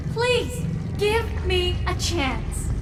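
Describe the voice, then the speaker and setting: Loud background noise sits under this recording. The female-sounding voice is a put-on character voice. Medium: machinima. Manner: gentle, hesitant.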